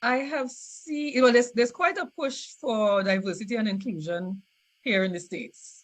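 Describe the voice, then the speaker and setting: A woman with a Trinidadian accent, fairly high-pitched and lively in intonation, at a moderate pace. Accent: Trinidadian, noticeable. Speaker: scientist. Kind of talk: interview. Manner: halting, many repetitions and fillers.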